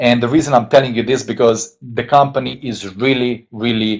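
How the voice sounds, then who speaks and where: A man with a Hungarian accent speaks at a moderate pace in an enthusiastic tone. His pitch varies in an ordinary way. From Hungary. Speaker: network marketing distributor. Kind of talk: sales pitch. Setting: webinar.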